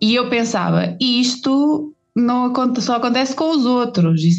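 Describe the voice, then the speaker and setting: A European Portuguese accent at a moderate pace. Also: woman. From Portugal, rural village (Forcada, Águeda area). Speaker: designer, therapist and pastry maker. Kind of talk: interview conversation. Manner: hesitant, with fillers.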